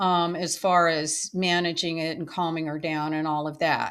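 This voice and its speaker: Speech from a woman, captured as a very clean recording against a silent background. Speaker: storyteller. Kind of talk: personal storytelling. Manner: unscripted, with fillers and restarts.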